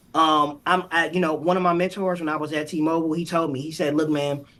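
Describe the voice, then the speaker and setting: With an American accent, a man talks in an ordinary speaking voice at a moderate pace, his pitch fairly high and his intonation fairly even. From Ohio, US Midwest. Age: 40s. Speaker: mindset and performance coach. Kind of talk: podcast interview.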